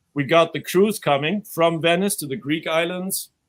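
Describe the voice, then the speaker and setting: At a fairly slow pace, a man with a German accent speaks high-pitched with ordinary pitch variation. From Germany. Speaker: crypto event organizer and channel host. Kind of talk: casual promo talk.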